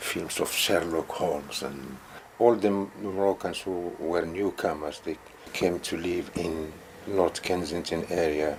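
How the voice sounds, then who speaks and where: A man speaks at a fairly slow pace with a very deep, low pitch. His intonation is fairly even, and there is noticeable background noise. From northern Morocco. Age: 60s. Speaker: community member. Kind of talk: interview testimony.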